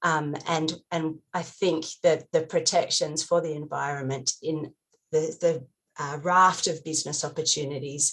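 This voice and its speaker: A woman with an Australian accent talks fairly slowly at a very deep, low pitch, her intonation monotone and flat. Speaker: NGO advocate panelist. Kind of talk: panel discussion. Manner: hesitant, many fillers.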